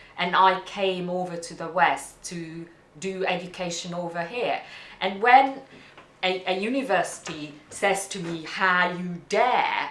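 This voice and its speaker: A woman with a non-native accent at a medium pitch and fairly slow pace, her loudness swinging widely, amid noticeable background noise and audible room echo. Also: ordinary pitch variation. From Hungary. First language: Hungarian. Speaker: immigrant interviewee. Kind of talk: interview testimony. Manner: halting.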